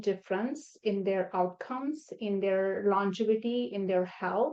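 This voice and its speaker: A woman with a non-native accent, fairly high-pitched, speaking at a fairly slow pace. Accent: foreign accent, noticeable. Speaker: nephrologist. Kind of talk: interview podcast. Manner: halting, many fillers.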